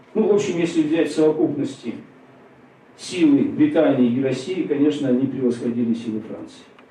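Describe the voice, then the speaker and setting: There is noticeable background noise behind a man whose voice is fairly high. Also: ordinary pitch variation, moderate pace. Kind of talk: lecture. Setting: stage with audience. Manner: conversational, many fillers.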